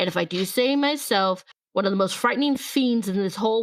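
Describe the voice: A plain read-aloud text, quiet behind it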